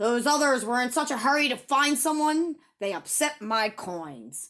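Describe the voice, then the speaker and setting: A female-sounding voice puts on a character voice with growling. The pitch is high, and the pace is moderate. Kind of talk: bedtime story. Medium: read story. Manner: growling, grumbling.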